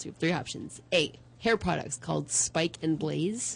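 A woman with vocal fry speaks at a fairly quick pace. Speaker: show sidekick reading trivia questions. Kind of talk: casual banter and quiz reading.

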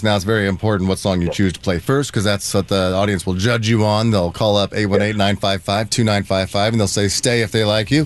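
A man talks at a fairly quick pace in a fairly low voice, with noticeable background noise behind him. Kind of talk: casual chat. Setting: studio. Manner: animated.

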